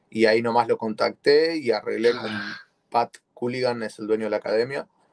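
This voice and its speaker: A man speaks in an unremarkable speaking voice at a medium pitch and moderate pace, his intonation fairly even. The sound is dry and close, with no echo. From Argentina, Buenos Aires. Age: 20s. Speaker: jiu-jitsu competitor. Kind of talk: interview.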